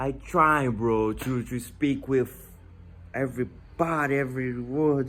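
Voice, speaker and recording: This man has a Portuguese accent and a medium pitch. His intonation stays fairly even. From Brazil. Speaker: language learner vlogger. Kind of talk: tutorial. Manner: halting.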